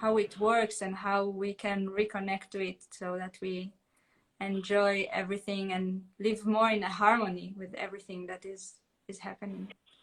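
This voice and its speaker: In an Israeli accent, a woman with a medium pitch speaks at a moderate pace in a monotone, flat intonation, with big swings in loudness. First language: Hebrew. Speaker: holistic therapist. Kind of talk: casual chat. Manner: halting.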